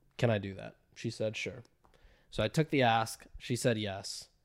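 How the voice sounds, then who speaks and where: Recorded very cleanly with a silent background and a dry, close sound with no echo, a man uses an unremarkable speaking voice at medium pitch, moderate pace and fairly even intonation. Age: 20s. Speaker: direct-to-consumer marketer. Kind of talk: casual chat.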